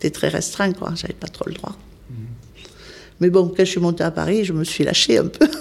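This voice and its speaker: The speech moves at a moderate pace with ordinary pitch variation and long, frequent pauses, over noticeable background noise. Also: woman, fairly low pitch for a woman. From southwestern France, Spanish-born parents. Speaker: volunteer nurse. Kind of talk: interview.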